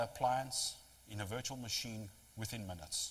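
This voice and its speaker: A man hurries along at a fairly quick pace, pitch varying in an ordinary way, amid noticeable background noise. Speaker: technology vendor presenter. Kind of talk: lecture. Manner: fast.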